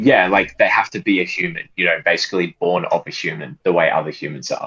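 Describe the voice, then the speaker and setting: Speaking very fast in an Australian accent, a man comes across with a dry, close sound and no echo. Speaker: caller. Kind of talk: debate. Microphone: cutting out.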